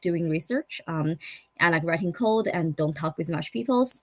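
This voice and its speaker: This woman's pitch sits fairly low. She talks with a non-native accent. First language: not English. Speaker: startup founder and engineer. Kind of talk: conference talk. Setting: online summit. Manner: halting.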